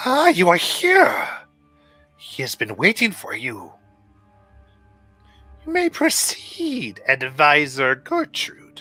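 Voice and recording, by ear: Over faint background music, a man puts on a high-pitched character voice and speaks very slowly, with long, frequent pauses.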